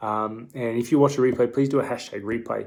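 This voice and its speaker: A man with an Australian accent speaks very fast, his medium-pitched voice keeping fairly even intonation. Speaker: dietitian. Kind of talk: live stream Q&A. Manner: casual, hesitant with fillers.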